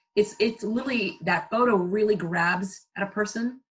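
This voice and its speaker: In an American accent, a woman speaks at a medium pitch and a moderate pace with ordinary pitch variation. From US, Caribbean family. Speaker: brand consultant and photographer. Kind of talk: podcast interview. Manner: animated, many fillers and restarts.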